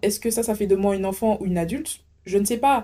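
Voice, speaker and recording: This woman talks at a fairly quick pace with a fairly high pitch and a dark, mellow tone. The recording is very clean, with a silent background. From French Antilles. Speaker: podcast host. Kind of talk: casual monologue. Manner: animated.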